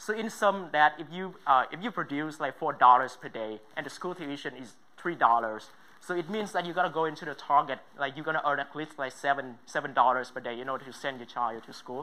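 The speaker has a Vietnamese accent and talks at a moderate pace. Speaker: student entrepreneur. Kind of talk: pitch presentation. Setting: stage with judges.

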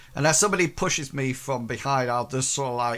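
A man's fairly bright tone moves with ordinary pitch variation.

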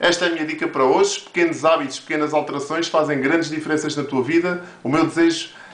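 In audible room echo, a man with a European Portuguese accent talks at a fairly quick pace, using a fairly high pitch and ordinary pitch variation. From Portugal. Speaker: motivational video creator. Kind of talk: motivational monologue to camera. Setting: home office with camera on tripod. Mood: warm, encouraging. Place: office. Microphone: webcam.

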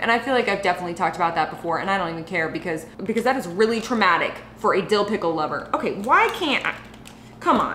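A woman talks at a very fast pace with audible room echo and light background noise. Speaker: food vlogger. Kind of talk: casual vlog chat. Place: kitchen.

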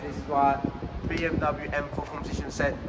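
Male speaker over loud background noise. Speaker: car vlogger. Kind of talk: casual vlog chat. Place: garage. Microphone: camera far.

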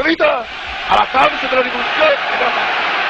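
A man speaks with an extremely high pitch. There is noticeable background noise. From Italy. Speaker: political leader giving a public speech. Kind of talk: political speech to a crowd. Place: street. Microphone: podium.

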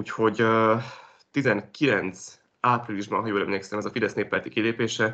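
A man's fairly low voice, bright and sharp in tone, with flat, monotone intonation. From Hungary. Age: 20s. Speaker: journalist. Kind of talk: interview. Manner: halting. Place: home room. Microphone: video call.

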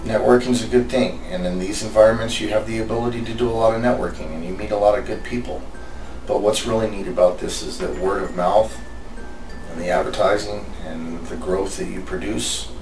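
Music plays behind a man with a fairly low pitch. He speaks at a fairly quick pace with lively intonation. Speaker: fraud investigator and investigations coordinator. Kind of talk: interview answer. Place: office.

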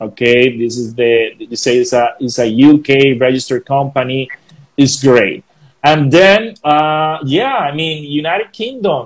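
Speaking at a fairly slow pace with a Colombian accent, a man uses a fairly high voice with ordinary pitch variation against a quiet background. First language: Spanish. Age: 40s. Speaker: DJ and music producer; DJ. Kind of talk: casual interview. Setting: video call. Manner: animated. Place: home room. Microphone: earbuds.

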